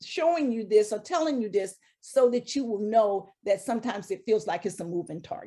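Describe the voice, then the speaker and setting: A woman's fairly high-pitched voice with a dark, mellow tone, lively intonation and a moderate pace. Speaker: HR consultant presenter. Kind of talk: webinar presentation.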